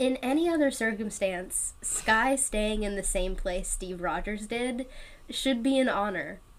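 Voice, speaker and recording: With an American accent, a woman talks in a fairly high voice. Her pitch varies in an ordinary way. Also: fairly slow pace. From Louisiana. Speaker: podcast co-host, TV show recapper. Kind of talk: casual chat, podcast recap.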